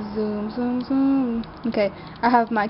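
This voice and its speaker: A woman speaks over noticeable background noise. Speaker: video blogger. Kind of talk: casual chat.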